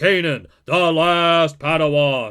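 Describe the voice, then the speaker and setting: Using a put-on character voice, a man speaks in a dramatic tone with fairly high pitch. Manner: epic, booming, dramatic.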